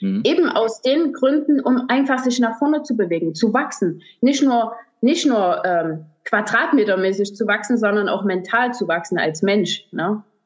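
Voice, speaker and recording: A woman is speaking. Her pitch swings very widely. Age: 40s. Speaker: hairdresser and salon owner. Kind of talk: podcast interview. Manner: halting, many fillers.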